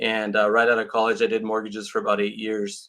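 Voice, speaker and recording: A man with a Californian accent talks at a very fast pace and a medium pitch. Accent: Californian American. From California, Santa Cruz area. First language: Portuguese. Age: 50s. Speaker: real estate agent. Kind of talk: interview.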